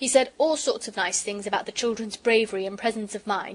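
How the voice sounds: The voice reads naturally. Pitch moves up and down an ordinary amount.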